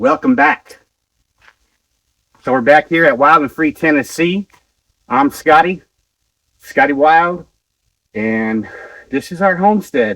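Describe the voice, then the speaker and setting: A man with a fairly high pitch talks at a fairly slow pace, his pitch swinging very widely. He leaves long, frequent pauses, and the sound is dry and close with no echo. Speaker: homesteader. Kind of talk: vlog. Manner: casual.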